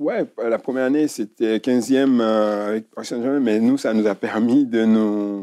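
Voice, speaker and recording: A man speaks at a fairly slow pace with hardly any pauses, his pitch medium. His tone is dark and mellow, and his intonation fairly even. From Africa. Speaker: former footballer. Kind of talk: interview. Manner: hesitant.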